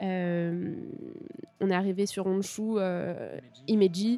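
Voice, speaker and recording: A woman's voice with a dark, mellow tone and ordinary pitch variation, recorded very cleanly against a silent background with a dry, close sound and no echo. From Paris region, France. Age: 20s. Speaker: cycle traveller. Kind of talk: interview.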